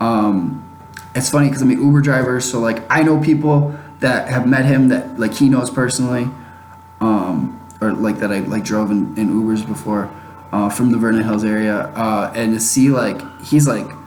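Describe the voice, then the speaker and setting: With an American accent, a man talks at a moderate pace in a medium-pitched voice with ordinary pitch variation, with noticeable background noise and audible room echo. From Chicago, US Midwest. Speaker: YouTuber podcast host. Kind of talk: casual solo podcast monologue.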